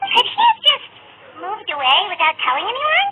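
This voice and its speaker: A put-on character voice, squeaky and extremely high, moves at a moderate pace with very wide pitch swings. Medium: video game. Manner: casual, friendly.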